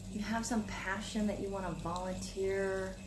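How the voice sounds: Clear background noise sits behind a woman speaking at a medium pitch with little pitch movement. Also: moderate pace.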